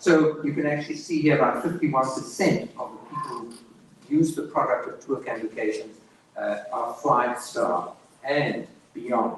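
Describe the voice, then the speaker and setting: With a strong South African accent, a man speaks at a moderate pace. Noticeable background noise runs underneath. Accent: South African, heavy. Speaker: tour operator representative. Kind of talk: sales presentation.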